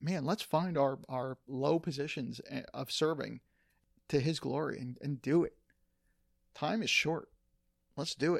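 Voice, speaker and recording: Speaking at a fairly slow pace with long, frequent pauses, a man uses a fairly high pitch, ordinary pitch variation and vocal fry. The sound is dry and close, with no echo. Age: 50s. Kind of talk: casual chat.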